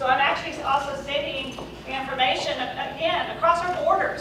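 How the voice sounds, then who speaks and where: A raised, projected voice moves at a fairly quick pace with fairly even intonation. Audible room echo and noticeable background noise surround it. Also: woman. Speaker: chair of a military-community partnership group. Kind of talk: press conference remarks. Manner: loud.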